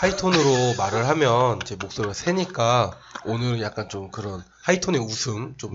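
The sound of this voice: A man's hoarse, put-on character voice at medium pitch and a moderate pace, with very wide pitch swings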